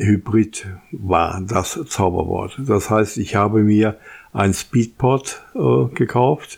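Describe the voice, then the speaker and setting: A man speaks at a very slow pace in a fairly low, somewhat breathy voice, with lively intonation and very even loudness. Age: old. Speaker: tech podcast host. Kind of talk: solo podcast monologue.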